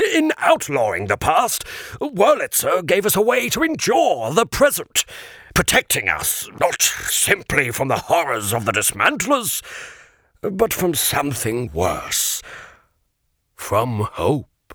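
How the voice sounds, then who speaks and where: A man uses a put-on character voice pitched high. He speaks at a fairly slow pace. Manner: solemn, sorrowful.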